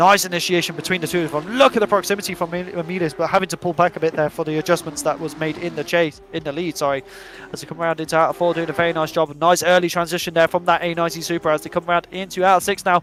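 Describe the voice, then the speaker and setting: A man speaks very fast in a high voice, with hardly any pauses. Noticeable background noise runs underneath. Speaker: sim racing commentator. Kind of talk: live commentary. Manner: animated.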